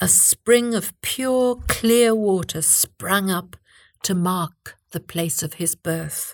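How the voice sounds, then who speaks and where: Very slow and dramatic, warm in tone, a woman's voice holds a medium pitch with ordinary pitch variation. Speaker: storyteller. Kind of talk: fairy-tale narration of a legend, told as a scripted story. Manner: storytelling, dramatic and vivid, rising in the storm scene; measured, clear and warm, like a tale read aloud.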